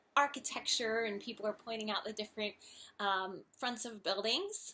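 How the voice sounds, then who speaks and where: With a slight Philadelphia accent, a woman talks at a moderate pace in a fairly high pitch and a bright, sharp tone. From Philadelphia region.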